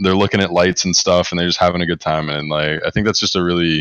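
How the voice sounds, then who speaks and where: This man has an American accent. His intonation is fairly even. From US South, North Carolina. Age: 20s. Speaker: esports coach. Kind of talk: casual interview. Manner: monotone.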